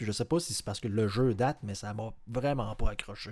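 The recording is very clean, with a silent background. A man with a normal speaking voice talks at a medium pitch and a moderate pace. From Lévis, Quebec. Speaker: podcast co-host. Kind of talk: casual chat.

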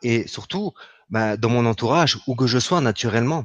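At a moderate pace, a man talks with lively intonation in a medium-pitched voice. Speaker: spiritual healer. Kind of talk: spiritual teaching talk. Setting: live online broadcast. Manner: gentle and soft.

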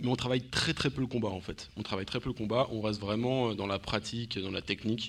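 Over a very clean recording with a silent background, a man in an ordinary speaking voice talks at medium pitch with ordinary pitch variation, a fairly quick pace and hardly any pauses. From Paris. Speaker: martial arts practitioner. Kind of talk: interview.

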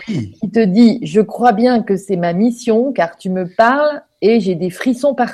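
A woman with a somewhat breathy, dark, mellow tone speaks at a very slow pace, her fairly high voice showing ordinary pitch variation. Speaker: online radio host. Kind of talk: casual interview. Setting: live online broadcast.

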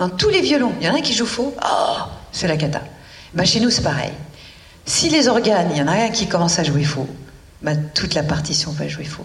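Amid noticeable background noise and audible room echo, a woman with a fairly low pitch speaks at a moderate pace, making very wide pitch swings and long, frequent pauses. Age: 60s. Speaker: nutrition author. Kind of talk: interview. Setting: at home.

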